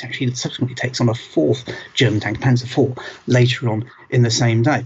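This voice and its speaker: He speaks with a British accent. The man's voice is somewhat breathy. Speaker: museum director. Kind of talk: presentation to camera. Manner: conversational with hesitations.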